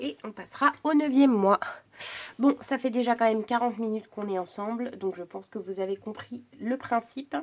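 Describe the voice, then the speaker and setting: Using a normal speaking voice, a woman speaks at a fairly high pitch with ordinary pitch variation and big swings in loudness. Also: moderate pace. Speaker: crafting youtuber. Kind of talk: tutorial. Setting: at home. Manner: casual chatty.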